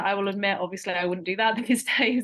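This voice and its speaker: The background is quiet as a woman speaks with a British accent. Her medium pitch carries fairly even intonation. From eastern England, rural. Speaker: postdoctoral researcher. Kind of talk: webinar interview.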